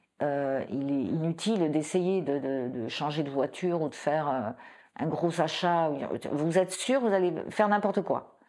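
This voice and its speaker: A woman speaks fairly slowly in a very deep, low register with a dark, mellow tone. Her intonation is lively. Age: 60s. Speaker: breast cancer patient. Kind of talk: testimony. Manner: halting, many repetitions.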